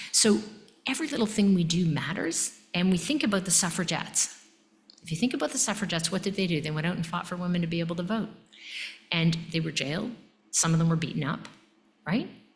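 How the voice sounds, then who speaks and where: Breathy in part and fairly low in pitch, a woman talks very fast with long, frequent pauses, ordinary pitch variation and audible room echo. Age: 60s. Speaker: emergency physician and medical education leader. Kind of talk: lecture. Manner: animated.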